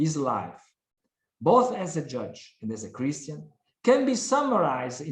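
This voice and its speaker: Speaking at a fairly slow pace with an Italian accent, this man has a high pitch and very wide pitch swings. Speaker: prosecutor. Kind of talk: conference talk. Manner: formal.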